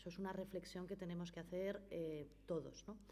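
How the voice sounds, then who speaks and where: Noticeable background noise and audible room echo surround a woman speaking at a medium pitch and moderate pace. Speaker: notary giving a legal talk. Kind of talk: conference talk.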